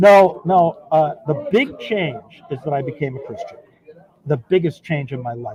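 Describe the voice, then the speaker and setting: A man's fairly high-pitched voice with ordinary pitch variation. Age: 60s. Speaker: recovering addict interviewee. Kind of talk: casual interview. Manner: animated.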